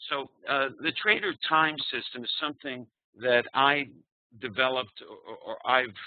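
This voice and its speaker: This man speaks at a medium pitch with a New York accent. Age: 60s. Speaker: trading psychology speaker. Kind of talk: presentation. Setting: online live webinar.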